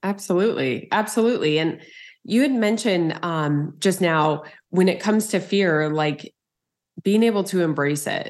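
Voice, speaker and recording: A plain, everyday voice talks at a moderate pace with ordinary pitch variation. The background is quiet. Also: woman, medium pitch for a woman. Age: 40s. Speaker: podcast host. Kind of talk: interview conversation.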